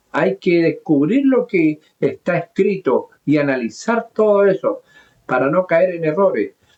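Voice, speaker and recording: A man with a high voice speaks at a very slow pace, his pitch swinging very widely while his loudness stays very even. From southern Chile, mining region. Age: 70s. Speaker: pastor. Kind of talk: sermon. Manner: halting.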